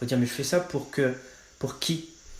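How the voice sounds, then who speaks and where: Noticeable background noise behind a man, his ordinary pitch variation and moderate pace. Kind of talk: testimony. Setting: podcast interview. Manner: casual, many fillers.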